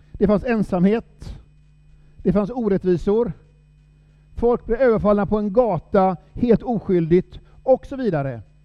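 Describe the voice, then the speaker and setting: Pausing long and often, a man talks at a fairly slow pace in a high voice with ordinary pitch variation. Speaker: preacher. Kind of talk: sermon.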